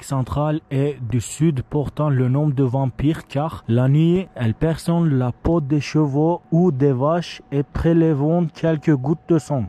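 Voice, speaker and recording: In a Turkish accent, a man with a fairly high pitch and a dark, mellow tone speaks with fairly even intonation, the sound dry and close with no echo. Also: quiet background. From Turkey. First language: Turkish (speaking French). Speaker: vlogger. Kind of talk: hiking vlog narration. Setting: outdoors. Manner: halting.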